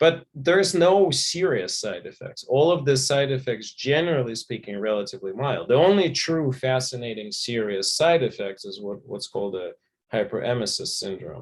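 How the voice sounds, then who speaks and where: Speaking at a moderate pace, a man with a medium pitch uses lively intonation. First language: not English. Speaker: physician and author. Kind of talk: panel discussion.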